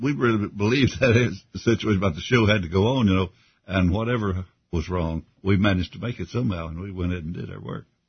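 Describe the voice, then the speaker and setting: With a Southern US accent, a man speaks fairly quickly in a very deep, low, somewhat breathy voice, with ordinary pitch variation and big swings in loudness. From Kentucky. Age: 80s+. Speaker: retired gospel singer. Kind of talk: casual interview. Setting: studio.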